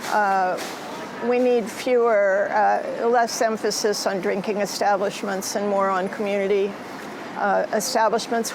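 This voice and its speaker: At a fairly slow pace, a woman with a fairly high pitch and fairly even intonation speaks amid noticeable background noise and audible room echo. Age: 70s. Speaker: artist. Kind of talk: interview.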